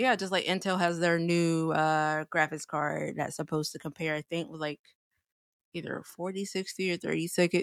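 A woman in a normal speaking voice, fairly low in pitch, at a moderate pace, with a dry, close sound, no echo, a very clean recording and a silent background. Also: fairly even intonation. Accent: American. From South Carolina. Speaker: podcast co-host. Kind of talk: casual chat.

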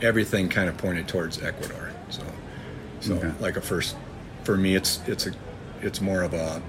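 A man talks at a moderate pace in a flat monotone, with noticeable background noise and audible room echo. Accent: American. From US Midwest (northern Michigan). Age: 50s. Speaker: farmer. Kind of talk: interview. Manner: halting.

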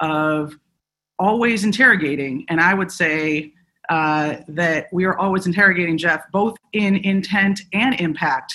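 With an American accent, a woman speaks in a fairly low pitch with a bright, sharp tone. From Chicago, US Midwest. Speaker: civil rights lawyer. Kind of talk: panel discussion. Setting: video call.

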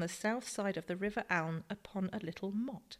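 A woman with a normal speaking voice talks at a medium pitch. Her pace is moderate and her intonation lively. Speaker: co-presenter reading quotes and facts. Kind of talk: reading aloud historical quotes and figures.

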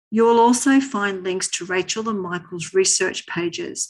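A woman speaks in a plain, everyday voice at medium pitch with ordinary pitch variation. Her pace is moderate, and the background is quiet. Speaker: podcast host. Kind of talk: interview for a podcast.

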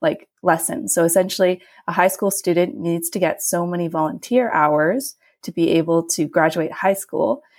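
The recording is very clean, with a silent background. A woman speaks in a fairly low pitch with a western Canadian accent. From western Canada (Alberta, Vancouver Island). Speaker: young professional. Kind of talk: interview.

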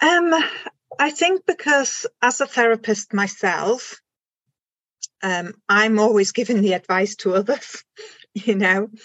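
The speaker talks in a German accent at a fairly slow pace with lively intonation, long, frequent pauses and very even loudness. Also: woman, fairly high pitch for a woman. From Germany. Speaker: complementary therapist. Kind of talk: casual interview chat.

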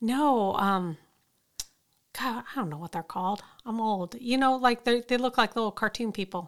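Here is a woman with a plain, everyday voice, fairly high in pitch, speaking at a moderate pace. The recording is very clean and the background silent. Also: ordinary pitch variation. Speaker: podcast co-host. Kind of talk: casual chat, podcast.

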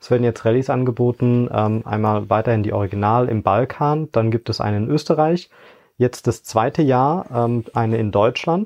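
Here is a man with a plain, everyday voice and medium pitch. He speaks at a moderate pace with ordinary pitch variation. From Eifel, western Germany. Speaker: management consultant and rally co-driver. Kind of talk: interview.

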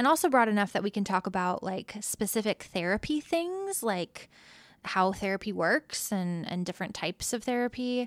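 With an ordinary speaking voice at a medium pitch, a woman talks at a moderate pace with lively intonation, the sound dry and close with no echo on a very clean recording over a silent background. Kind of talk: casual conversation, podcast interview.

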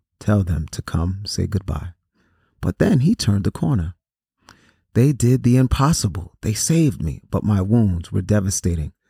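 In a dark, mellow, somewhat breathy voice with a dramatic tone, a man speaks at a fairly low pitch and moderate pace, the sound dry and close with no echo on a very clean recording with a silent background. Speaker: podcast host reading a story aloud. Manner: measured and earnest, with a dramatic, somber delivery in the shooting scenes.

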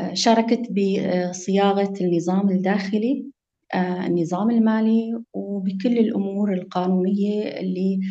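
A woman speaks at a very slow pace with hardly any pauses, her medium-pitched voice very even in loudness and fairly even in intonation. Audible room echo surrounds the recording. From Syria, Maarat al-Numan (Idlib). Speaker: lawyer. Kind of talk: interview.

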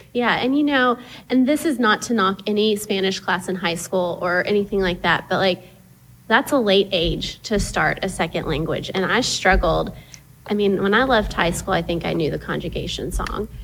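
The speaker has an American accent and some vocal fry. The pace is moderate, with ordinary pitch variation. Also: woman, medium pitch for a woman. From East Texas (Tyler). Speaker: parent. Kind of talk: casual chat.

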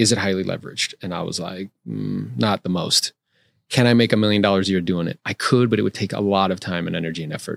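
On a very clean recording with a silent background, a man with a plain, everyday voice talks at a fairly quick pace with ordinary pitch variation, the sound dry and close with no echo. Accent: American. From South Florida. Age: 40s. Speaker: real estate agent and investor. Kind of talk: casual interview. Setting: studio.

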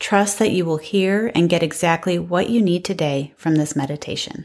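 A woman talks in an unremarkable speaking voice, her medium pitch varying in an ordinary way at a moderate pace, on a very clean recording with a silent background. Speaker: mindfulness instructor and life coach. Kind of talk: guided meditation. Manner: calm, soft-spoken, with long pauses.

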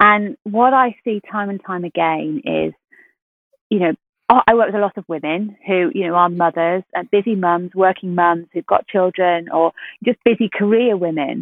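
A woman at medium pitch, ordinary pitch variation, moderate pace and an unremarkable speaking voice. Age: 40s. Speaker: health coach course director. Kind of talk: interview.

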